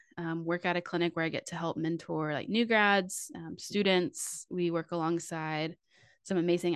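In a plain, everyday voice, a woman with an American accent speaks at fairly low pitch with fairly even intonation, the sound dry and close with no echo against a quiet background. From Texas, Fort Worth. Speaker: physical therapist. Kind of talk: casual chat.

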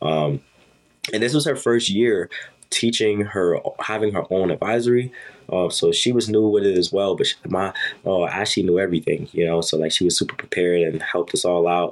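Very even loudness, ordinary pitch variation and a fairly quick pace over noticeable background noise. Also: man, fairly low pitch for a man. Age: 20s. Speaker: podcast host and college student. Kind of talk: casual advice monologue. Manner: casual with many fillers.

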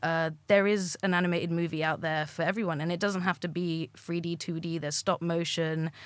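A woman talks in a flat monotone with hardly any pauses, in a very clean recording with a silent background. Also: fairly low pitch for a woman, fairly quick pace. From England and France. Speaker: digital artist and illustrator. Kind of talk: casual chat. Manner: giggly, laughs often.

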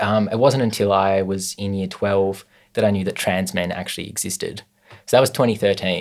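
Speaking with an Australian accent, a man uses a fairly low pitch and fairly even intonation at a moderate pace. The recording is very clean and the background silent. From Tasmania, Australia (Hobart). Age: 20s. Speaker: visual artist. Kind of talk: casual interview.

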